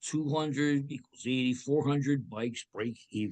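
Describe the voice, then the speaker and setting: A man with a New Jersey accent speaks at a moderate pace. His pitch is fairly high. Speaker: accounting instructor. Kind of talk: lecture.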